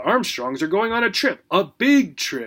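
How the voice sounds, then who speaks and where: In a put-on character voice, a man speaks at a high pitch. His pitch swings very widely and his loudness rises and falls sharply. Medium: read story.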